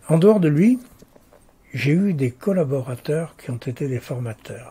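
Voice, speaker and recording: At a fairly slow pace, a man speaks in a dark, mellow, somewhat breathy tone with lively intonation. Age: 80s+. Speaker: lawyer. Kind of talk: interview. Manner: hesitant with fillers.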